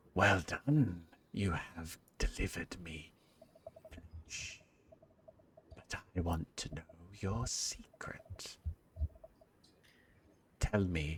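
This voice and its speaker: A man's put-on character voice, very deep and low, at a very slow pace with long, frequent pauses. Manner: eerie, whispering, sinister.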